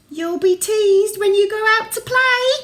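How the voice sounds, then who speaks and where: A woman's squeaky put-on character voice, extremely high in pitch, at a moderate pace. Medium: read story. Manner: stern, scolding.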